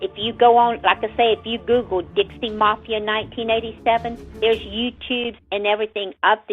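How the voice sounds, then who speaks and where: Music plays in the background behind a woman with a Southern US accent. She speaks at a fairly quick pace and a fairly high pitch. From Florida. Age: 60s. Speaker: family member of murder victims. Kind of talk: radio interview.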